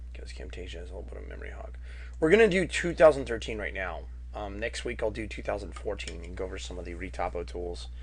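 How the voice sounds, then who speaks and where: Amid audible room echo, a man with a very deep, low pitch and vocal fry talks at a very fast pace in a monotone, flat intonation, his loudness swinging widely. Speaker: 3D art instructor. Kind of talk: tutorial. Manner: casual.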